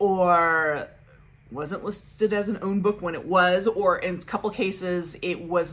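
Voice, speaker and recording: Her intonation fairly even, a woman speaks at a fairly low pitch. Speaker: book vlogger. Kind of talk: casual monthly reading wrap-up vlog. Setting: home recording setup. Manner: fast; chatty, babbling. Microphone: makeshift setup due to microphone issues.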